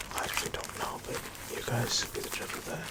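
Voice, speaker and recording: Someone whispers over noticeable background noise. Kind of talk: ASMR ramble to camera. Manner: whispered; casual, rambling.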